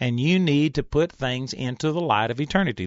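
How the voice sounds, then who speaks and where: A man talks in a plain, everyday voice. His pitch is fairly high and his intonation lively. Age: 50s. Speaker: Bible teacher. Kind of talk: sermon.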